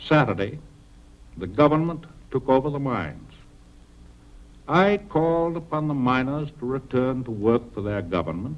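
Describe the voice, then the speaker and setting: In a solemn tone with an American accent, a man speaks at a fairly high pitch and moderate pace with very wide pitch swings. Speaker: president giving a national address. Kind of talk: formal 1940s radio address. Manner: solemn, measured, authoritative.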